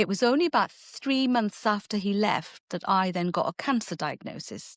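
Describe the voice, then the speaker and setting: Set against a quiet background, a woman speaks at a moderate pace and medium pitch with lively intonation, the sound dry and close with no echo. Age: 60s. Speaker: artisan baker. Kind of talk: interview conversation. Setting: podcast. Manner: halting.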